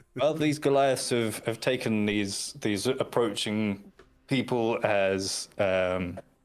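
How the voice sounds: A natural reading voice is heard. It delivers the text.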